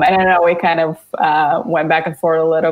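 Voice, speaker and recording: Noticeable background noise behind a woman speaking fairly low. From Bulgaria. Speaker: visual artist. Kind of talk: casual chat.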